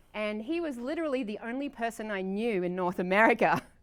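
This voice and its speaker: A woman with an Australian accent, lively in intonation, at a fairly quick pace. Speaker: political candidate. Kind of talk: interview.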